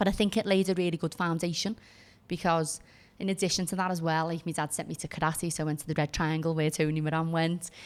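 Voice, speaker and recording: In a Liverpool accent, a woman talks very fast in a fairly low pitch and a flat monotone, recorded very cleanly against a silent background. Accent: Scouse. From Liverpool, England (Kensington, North End). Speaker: former barrister, entrepreneur. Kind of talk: podcast interview.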